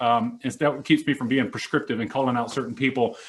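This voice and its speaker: With an American accent, a man talks at a very fast pace. His intonation is lively. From Mississippi. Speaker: Air Force senior NCO, discussion host. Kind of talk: panel discussion. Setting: room with a small group, mics.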